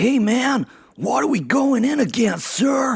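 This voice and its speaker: In a put-on character voice with an American accent, this fairly high-pitched speaker talks at a fairly slow pace. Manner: earnest, questioning a superior.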